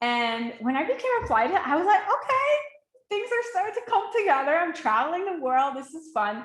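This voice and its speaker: At a moderate pace, the speaker uses very wide pitch swings in a Quebec accent. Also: woman. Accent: Quebecois French-accented English. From Quebec, Montreal. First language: French. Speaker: life coach. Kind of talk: webinar masterclass. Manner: animated.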